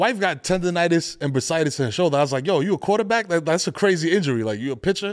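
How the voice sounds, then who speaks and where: On a very clean recording with a silent background, a man talks at a very fast pace in a high pitch. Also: lively intonation. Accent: New York. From New York, Bronx. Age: 40s. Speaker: podcast co-host. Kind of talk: casual chat. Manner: animated.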